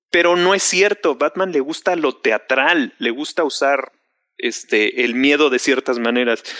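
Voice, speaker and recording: A man speaks in a Mexican accent at a fairly slow pace, his pitch fairly high and his tone bright and sharp, with very even loudness and a dry, close sound with no echo against a quiet background. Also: ordinary pitch variation. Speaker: film fan panelist. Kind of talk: casual chat.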